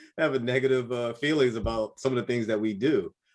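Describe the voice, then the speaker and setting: A man talks at a fairly quick pace in a medium pitch. He has a plain, everyday voice. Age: 30s. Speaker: podcast host and military service member. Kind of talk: casual interview chat.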